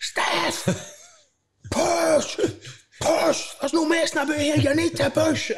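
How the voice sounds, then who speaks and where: A man puts on a character voice pitched extremely high. He goes at a fairly slow pace, leaving long, frequent pauses. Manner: shouting; urgent, commanding.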